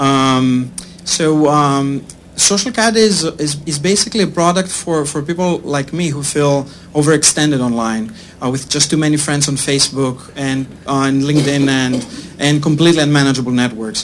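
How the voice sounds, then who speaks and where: Fairly high-pitched male voice against noticeable background noise. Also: ordinary pitch variation, moderate pace. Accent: strong Greek. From Greece. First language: Greek. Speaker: startup CEO. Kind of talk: sales pitch. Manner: hesitant, many fillers.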